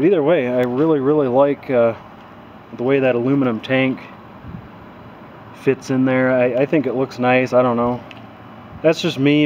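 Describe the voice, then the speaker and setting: The speaker is a man with fairly even intonation. Light background noise can be heard. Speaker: tractor owner. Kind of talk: casual vlog chat. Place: street. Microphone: phone near.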